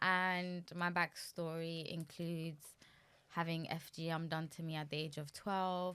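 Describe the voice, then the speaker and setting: A woman's fairly low voice in a monotone, flat intonation. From UK. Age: 30s. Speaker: guest sharing life story. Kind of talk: testimony.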